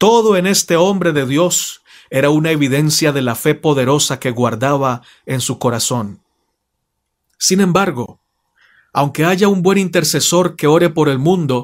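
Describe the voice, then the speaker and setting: In a very clean recording with a silent background, a man with an ordinary speaking voice talks at a fairly slow pace, his fairly high pitch showing ordinary variation. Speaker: preacher.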